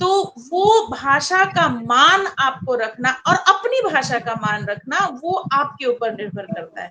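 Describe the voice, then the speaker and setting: A woman with a Bihar accent speaks in a raised, projected voice at a high pitch, with very wide pitch swings and big swings in loudness. Noticeable background noise runs underneath. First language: Maithili (speaking Hindi). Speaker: English teacher and poet. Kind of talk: panel discussion.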